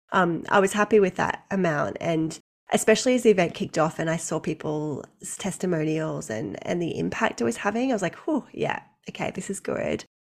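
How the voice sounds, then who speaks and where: A woman with an Australian accent, fairly low pitch, vocal fry, lively intonation and a fairly quick pace. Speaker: maternity leave coach. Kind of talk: casual interview chat.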